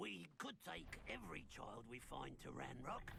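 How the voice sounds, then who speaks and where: A put-on character voice speaks at a low pitch and a moderate pace. Background noise is clearly heard. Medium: video game. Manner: gruff, sneering.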